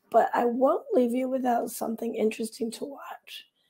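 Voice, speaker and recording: A woman speaks at a moderate pace in a fairly high pitch. Her tone is dark and mellow, with vocal fry. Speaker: author and video show host. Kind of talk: casual vlog monologue.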